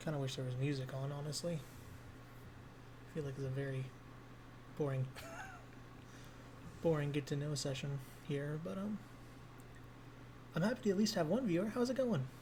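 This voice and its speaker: A soft-spoken man with a fairly high pitch, a fairly quick pace, lively intonation, long and frequent pauses, and audible room echo. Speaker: vtuber streamer. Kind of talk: casual live stream chat. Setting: home at night, live stream.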